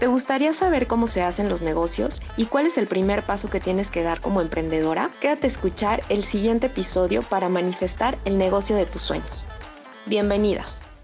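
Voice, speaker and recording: Over music in the background, a woman speaks at a fairly quick pace with lively intonation and a medium pitch. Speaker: podcast host. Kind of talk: podcast host intro and interview questions.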